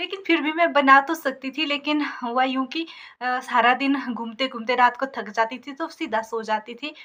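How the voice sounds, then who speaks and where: A woman's high, bright, sharp voice, raised and projected, with hardly any pauses. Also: ordinary pitch variation. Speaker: village vlogger. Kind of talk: casual vlog talk to camera. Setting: sitting in her shop. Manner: hesitant fillers.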